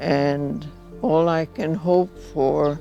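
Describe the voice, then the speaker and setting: Music sounds in the background. A woman with a very deep, low pitch speaks very slowly, with ordinary pitch variation. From Hungary. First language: Hungarian. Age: 90s. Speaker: Holocaust survivor. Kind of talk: testimony.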